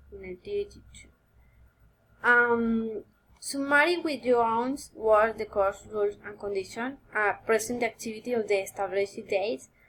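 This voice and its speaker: A woman with a Spanish accent at a moderate pace. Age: 20s. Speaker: university student. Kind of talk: recorded course assignment answering questions. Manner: halting, with many fillers.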